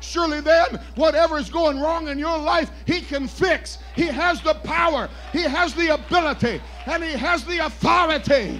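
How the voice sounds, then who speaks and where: Faint music plays in the background as a man speaks. His tone is animated and his pace moderate. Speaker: preacher. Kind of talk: sermon. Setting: church. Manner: loud. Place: church.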